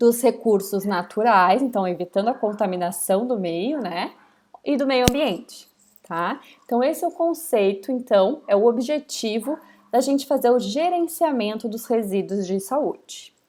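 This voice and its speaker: A woman with an ordinary speaking voice talks at a fairly high pitch and a fairly slow pace. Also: lively intonation. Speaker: university lecturer. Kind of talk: lecture.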